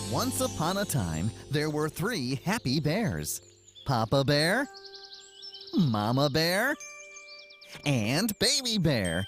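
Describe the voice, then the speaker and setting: Clear music sits behind a cartoonish character voice at a low-to-middle pitch, spoken at a very slow pace. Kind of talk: children's bedtime story. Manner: warm, giggly.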